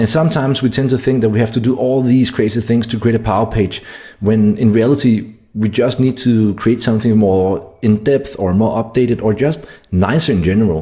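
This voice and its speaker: A man's medium-pitched, dark, mellow, somewhat breathy voice with a Danish accent, a fairly quick pace, very even loudness and ordinary pitch variation. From Denmark. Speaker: SEO marketer. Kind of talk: tutorial.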